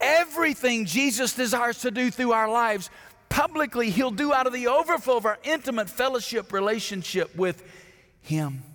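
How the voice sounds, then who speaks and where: A man speaks at a moderate pace with an Alabama accent. His pitch is extremely high, and his tone is bright and sharp. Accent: Southern US (Alabama). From US South, Alabama. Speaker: pastor. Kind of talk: sermon. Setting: church.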